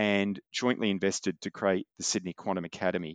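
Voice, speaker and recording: Fairly low in pitch, a man with an Australian accent speaks at a fairly quick pace, recorded dry and close with no echo against a quiet background. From Australia, Newcastle NSW. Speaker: quantum tech company founder and physics professor. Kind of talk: interview.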